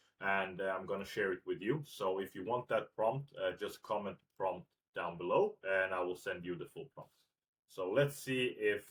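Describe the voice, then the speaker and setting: A man with a Swedish accent talks at a fairly slow pace. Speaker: tech tutorial youtuber. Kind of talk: screen-recorded tutorial. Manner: frequent filler hesitations (uh); casual.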